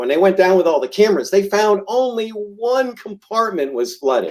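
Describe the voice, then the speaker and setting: This man's voice is high-pitched, with lively intonation. He keeps to a moderate pace. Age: 60s. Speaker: realtor. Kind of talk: casual chat. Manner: hesitant with many ums.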